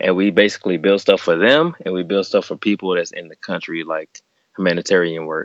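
In a Southern US accent, a man with a very deep, low voice talks at a fairly quick pace with fairly even intonation. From Alabama. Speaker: active-duty Navy sailor. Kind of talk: casual chat. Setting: remote call from a closet at home.

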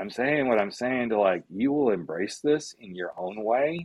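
A man talks in a plain, everyday voice at a medium pitch. His intonation is lively and his pace moderate. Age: 50s. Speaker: life coach. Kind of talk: casual chat.

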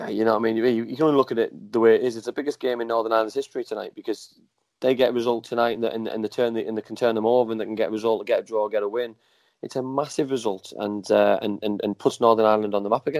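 With an English accent, a man talks very fast at medium pitch, his intonation fairly even. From England. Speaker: former professional footballer. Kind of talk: casual chat. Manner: halting, repetitive.

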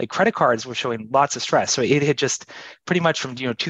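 The sound is dry and close with no echo, and the pitch varies in an ordinary way. It is a normal speaking voice. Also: man. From Canada. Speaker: economist. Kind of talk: casual chat.

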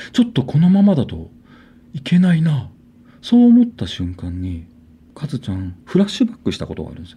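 Pitch swings very widely as a man talks in a dark, mellow tone. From Niijima, Tokyo islands, Japan. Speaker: artist, bassist and PE teacher. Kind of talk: ghost story telling.

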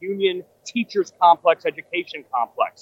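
At a moderate pace, a high-pitched man with an American accent speaks with ordinary pitch variation in a dry, close sound with no echo. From New York City. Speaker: political commentator. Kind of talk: live political analysis. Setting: outside a ballroom at an event.

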